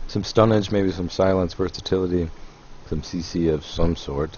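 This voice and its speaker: A man speaks in a very deep, low voice. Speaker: esports commentator. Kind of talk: live commentary.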